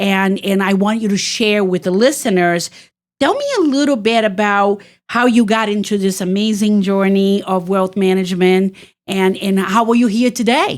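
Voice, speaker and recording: Fairly even in intonation and medium in pitch, a woman talks in a plain, everyday voice. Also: moderate pace. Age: 60s. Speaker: podcast host, home care business owner. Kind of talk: interview podcast.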